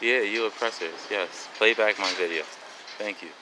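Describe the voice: A man's fairly low voice with a bright, sharp tone and ordinary pitch variation, faint noise behind it. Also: moderate pace.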